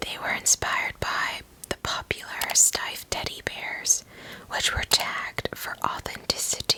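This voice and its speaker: A woman whispers fairly slowly, with noticeable noise in the background. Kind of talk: ASMR whispered history narration. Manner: whispered.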